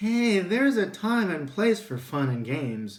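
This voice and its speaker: A man does a put-on character voice that is high-pitched, warm and gentle in tone, with very wide pitch swings. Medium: read story. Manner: warm, gentle.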